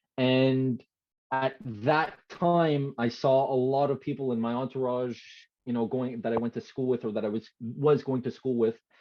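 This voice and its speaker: Using an unremarkable speaking voice, a man speaks at a moderate pace with medium pitch and fairly even intonation. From Canada, Quebec (Montreal area). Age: 20s. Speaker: former hockey player turned online creator. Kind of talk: podcast interview. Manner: many fillers and restarts.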